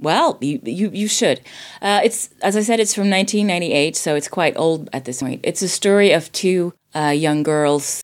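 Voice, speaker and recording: A woman speaks at a fairly slow pace with a slight Swedish accent and lively intonation. Her pitch is fairly low, and the recording is very clean with a silent background. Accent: near-native English, little Swedish. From Sweden. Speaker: voice actor and drama teacher. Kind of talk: casual film discussion. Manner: many filler hesitations.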